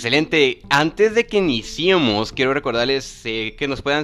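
This is a man speaking at a moderate pace. His pitch is medium. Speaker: podcast host, English teacher. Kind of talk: casual educational podcast. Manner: halting, many fillers and repetitions.

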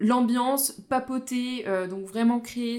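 Her pitch moves with ordinary variation as the woman speaks. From Vosges, eastern France. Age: 20s. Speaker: photographer. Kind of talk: casual interview. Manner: animated.

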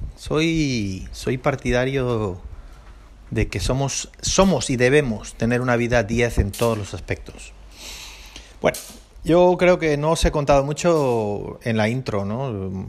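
A man speaks at a medium pitch and a very slow pace with lively intonation, on a very clean recording with a silent background. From Basque Country, Spain. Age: 40s. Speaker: podcast host, airline pilot. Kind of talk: casual solo podcast monologue. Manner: halting, many repetitions and fillers.

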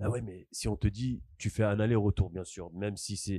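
Over a quiet background, a man with a fairly low pitch and a dark, mellow tone talks fairly quickly with fairly even intonation, in a dry, close sound with no echo. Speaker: podcast co-host. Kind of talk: casual chat.

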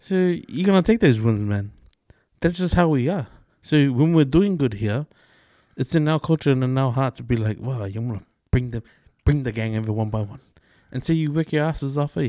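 A man at medium pitch has a dark, mellow tone and lively intonation, moving at a fairly quick pace with long, frequent pauses. The sound is dry and close with no echo, a very clean recording with a silent background. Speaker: podcast co-host. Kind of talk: casual chat.

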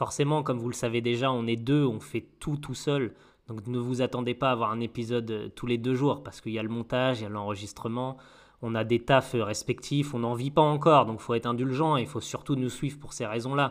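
A man with an unremarkable speaking voice, medium pitch, fairly even intonation and a fairly quick pace. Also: very clean recording, silent background. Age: 30s. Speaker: podcast co-host. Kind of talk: casual chat.

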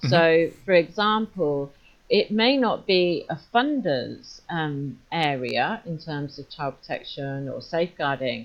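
A woman with a British accent and a fairly low pitch talks at a fairly slow pace, her intonation lively and her loudness swinging widely. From UK. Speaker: safeguarding consultant. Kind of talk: interview conversation.

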